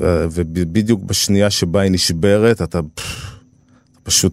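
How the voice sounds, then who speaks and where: A man speaks at a very slow pace in a very deep, low voice. His tone is dark and mellow, with fairly even intonation. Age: 40s. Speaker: journalist and documentary maker. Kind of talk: interview.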